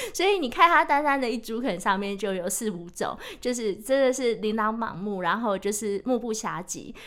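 With hardly any pauses, a woman speaks at a moderate pace and a fairly high pitch, her intonation lively, over noticeable background noise. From Taiwan, Taichung. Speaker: author and sustainability professional. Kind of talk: casual chat. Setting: studio.

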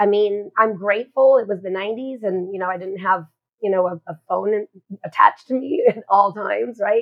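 A woman talks in a plain, everyday voice at medium pitch with ordinary pitch variation. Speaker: love coach. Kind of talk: interview, personal story.

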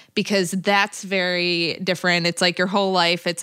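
A woman with a fairly low pitch and a bright, sharp tone talks at a moderate pace with monotone, flat intonation, in a very clean recording with a silent background. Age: 30s. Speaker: podcast co-host, comedian. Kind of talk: casual chat.

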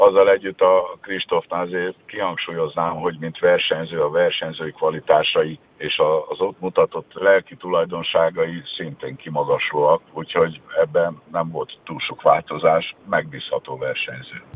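Against noticeable background noise, a man talks at a fairly slow pace with hardly any pauses and big swings in loudness. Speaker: national swimming coach. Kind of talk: radio interview.

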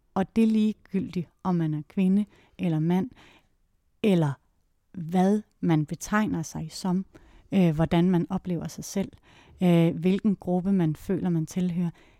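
A woman talks at a very slow pace with long, frequent pauses and fairly even intonation, her tone dark and mellow and her pitch fairly low. The recording is very clean with a silent background, the sound dry and close with no echo. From Jutland, Denmark (near Viborg). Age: 40s. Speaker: actress and theatre maker. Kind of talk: interview. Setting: her office. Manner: hesitant, many filler sounds.

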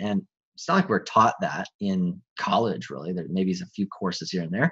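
The pitch of this man's voice swings very widely. He talks at a fairly quick clip. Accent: American. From US Midwest, small-town Wisconsin. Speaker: men's coach. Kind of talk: interview conversation.

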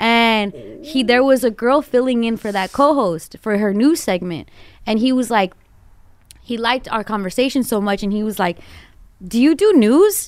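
A woman with an American accent speaks in a normal speaking voice at fairly high pitch. Her intonation is lively and her pace moderate. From Los Angeles (Glendale). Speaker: morning radio host. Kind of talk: long-form interview.

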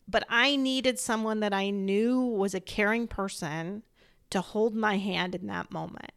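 On a very clean recording with a silent background, a woman with an ordinary speaking voice talks at a fairly slow pace, her medium pitch showing ordinary pitch variation. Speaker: podcast host, bereaved mother; pediatric healthcare worker. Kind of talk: interview.

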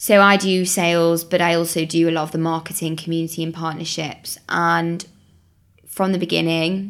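Monotone, flat intonation at a moderate pace, with a woman's fairly low pitch. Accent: Mancunian. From Manchester, northern England. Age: 20s. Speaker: startup co-founder. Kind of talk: casual interview.

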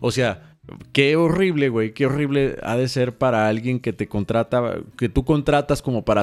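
Over a very clean recording with a silent background, a man with a Mexican accent speaks at a fairly slow pace. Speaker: podcast co-host and church musician. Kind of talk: casual chat.

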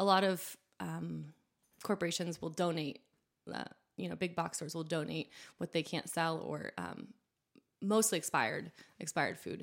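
Long, frequent pauses break up a woman's speech at a moderate pace. The recording is very clean, with a silent background. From New Hampshire, US. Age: young. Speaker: food entrepreneur. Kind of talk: casual interview.

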